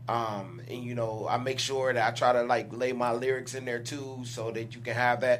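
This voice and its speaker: Amid noticeable background noise and audible room echo, a man talks at a moderate pace and medium pitch in a flat monotone, with hardly any pauses. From Detroit. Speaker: rapper. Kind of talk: casual interview chat.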